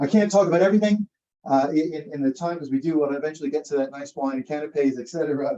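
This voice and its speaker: A man with an American accent, fairly high in pitch, dark and mellow in tone, with ordinary pitch variation. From US Northeast (New Haven, Connecticut). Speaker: law professor. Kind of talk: panel talk. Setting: event room with live audience. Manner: halting, many fillers.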